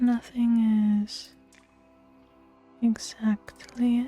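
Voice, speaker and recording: Music plays behind a soft-spoken woman with a relaxed tone and a fairly high pitch. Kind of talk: ASMR soft-spoken casual chat while gaming. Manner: soft-spoken, relaxed.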